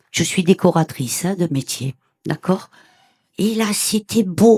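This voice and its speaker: At a very slow pace, a woman speaks at medium pitch with a dark, mellow tone and a dry, close sound with no echo. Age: 70s. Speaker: audience member sharing near-death experience. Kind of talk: testimony. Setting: conference with audience. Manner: animated.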